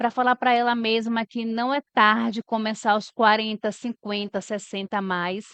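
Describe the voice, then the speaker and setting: A woman speaks at a fairly high pitch with hardly any pauses. Her intonation is monotone and flat. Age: 40s. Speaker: HR manager. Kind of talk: podcast interview.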